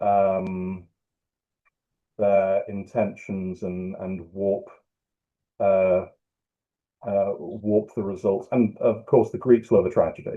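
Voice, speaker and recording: A very slow, monotone voice with flat intonation, long and frequent pauses, in a British accent. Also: man. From UK. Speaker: writer. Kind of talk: interview answer.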